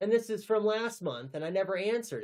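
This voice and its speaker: A man mumbles his words. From North Texas. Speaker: teacher and livestreamer. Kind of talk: casual livestream chat. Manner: mumbling; hesitant, many fillers and repeats.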